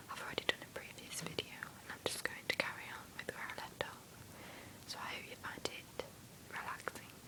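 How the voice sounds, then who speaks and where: Over noticeable background noise, whispering moves along at a fairly quick pace. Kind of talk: casual intro to camera. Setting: home with background noise. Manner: whispered.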